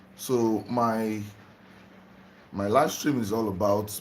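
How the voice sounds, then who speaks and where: Someone with a Nigerian accent talks at a very slow pace with fairly even intonation, and audible room echo surrounds the voice. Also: man. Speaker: spiritual livestreamer. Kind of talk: live stream talk to viewers. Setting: home livestream, just woke up.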